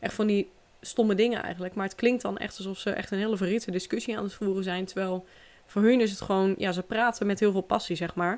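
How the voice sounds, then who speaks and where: A woman talks at a very fast pace and a medium pitch. Her intonation is monotone and flat. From Netherlands. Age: 20s. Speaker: podcast host. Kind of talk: casual monologue.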